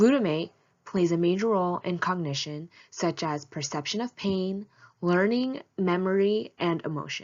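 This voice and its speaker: A woman speaks in an ordinary speaking voice at medium pitch. Her pace is moderate and her pitch varies in an ordinary way. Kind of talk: informational presentation read.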